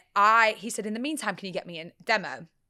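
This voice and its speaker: A woman with an English accent speaks at a fairly quick pace with a bright, sharp tone. Her pitch variation is ordinary, and the recording is very clean with a silent background. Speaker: radio presenter. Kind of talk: interview. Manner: loud; animated.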